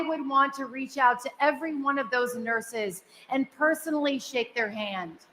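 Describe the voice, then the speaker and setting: Her voice raised and projected, a woman speaks at a high pitch in a bright, sharp tone. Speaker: radio host and event emcee. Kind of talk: awards ceremony speech. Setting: stage with audience, in the round. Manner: loud. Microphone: echoey.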